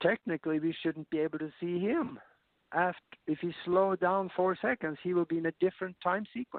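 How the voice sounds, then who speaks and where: At a fairly quick pace, a man talks at a high pitch with ordinary pitch variation. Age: 70s. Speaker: spiritual science speaker. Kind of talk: interview talk. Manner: halting.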